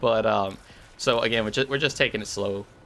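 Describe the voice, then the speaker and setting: At a fairly quick pace, a man talks with a fairly low pitch, a bright, sharp tone and ordinary pitch variation. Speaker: gaming youtuber. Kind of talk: gameplay commentary. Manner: stutters often; relaxed, casual.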